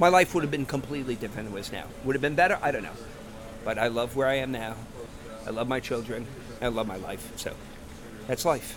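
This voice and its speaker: A man with an American accent at a medium pitch, ordinary pitch variation, a very fast pace broken by long, frequent pauses, and noticeable background noise. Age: 50s. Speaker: ice cream parlor owner. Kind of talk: interview.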